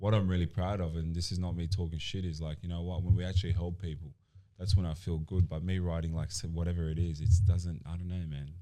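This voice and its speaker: This man speaks at a very fast pace with an Australian accent. His very deep, low pitch has a dark, mellow tone and fairly even intonation. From Australia, born in Colombia. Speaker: personal trainer and gym owner. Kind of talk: casual podcast interview. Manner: halting, many fillers.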